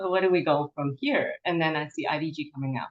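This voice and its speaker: Speaking at a fairly quick pace, a woman has a fairly low pitch and a Cantonese accent. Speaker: forest therapy presenter. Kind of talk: webinar Q&A.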